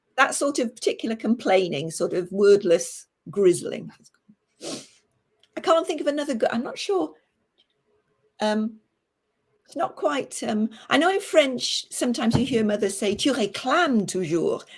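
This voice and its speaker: A woman talks at a moderate pace with a fairly high pitch and very wide pitch swings. Her speech has long, frequent pauses. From Welsh-English border. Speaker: storyteller. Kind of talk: livestream interview. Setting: livestream.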